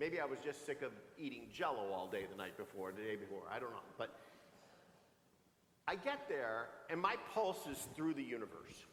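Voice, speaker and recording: There is audible room echo as a man talks at a moderate pace with long, frequent pauses. His fairly high voice has vocal fry, an animated tone and very wide pitch swings. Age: 60s. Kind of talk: sermon. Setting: church. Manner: animated, conversational.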